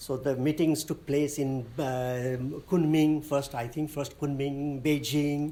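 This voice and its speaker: A man with a Nepali accent speaks very slowly in a fairly high, flat monotone. His tone is dark and mellow, and the room echo is audible. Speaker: lecturer. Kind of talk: lecture. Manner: halting.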